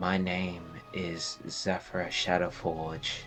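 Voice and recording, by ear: Whispering in a soft-spoken, breathy put-on character voice, a man speaks over clear music in the background.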